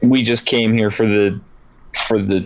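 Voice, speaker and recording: A man puts on a rumbling character voice at a medium pitch, delivering it at a moderate pace in a monotone, flat intonation. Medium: actual play. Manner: grumbling, curt.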